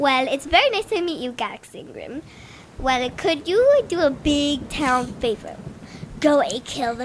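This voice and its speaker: A woman puts on a character voice at a high pitch and moderate pace. Background noise is clearly audible. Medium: actual play. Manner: chatty, repetitive.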